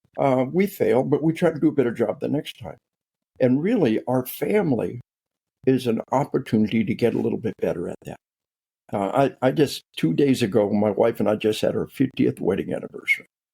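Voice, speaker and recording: A man talks at a fairly quick pace with lively intonation and vocal fry. His tone is dark and mellow, and the sound is dry and close with no echo. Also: medium pitch for a man. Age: 60s. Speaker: military psychologist and author. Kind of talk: interview. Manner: repetitive, stammering restarts.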